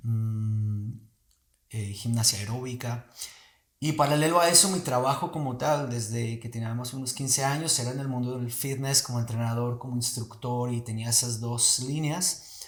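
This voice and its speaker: The speaker is a man with an ordinary speaking voice, medium in pitch. He talks at a moderate pace with ordinary pitch variation. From Colombia. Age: 40s. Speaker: movement teacher. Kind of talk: casual chat.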